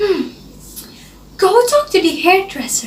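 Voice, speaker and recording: In a put-on character voice, a woman speaks fairly slowly at an extremely high pitch, with very wide pitch swings. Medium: read story. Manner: slow, hesitant "hmm".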